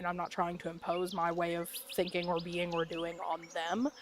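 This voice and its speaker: A woman speaks with an American accent. Her fairly low voice moves at a moderate pace. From US South. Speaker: gaming streamer. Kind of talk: casual chat. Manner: casual, hesitant with fillers.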